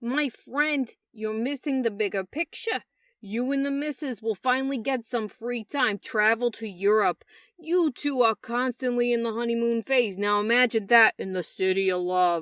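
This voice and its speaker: A woman puts on a character voice at a fairly high pitch and moderate pace, in a very clean recording with a silent background. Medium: read story. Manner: casual, buddy-like.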